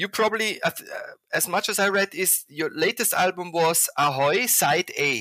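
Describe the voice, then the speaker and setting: Using a raised, projected voice in a German accent, the speaker keeps a moderate pace with lively intonation and a bright, sharp tone, in a dry, close sound with no echo. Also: man, high pitch for a man. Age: 50s. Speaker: podcast host, environmental graphic designer. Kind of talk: interview. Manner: halting.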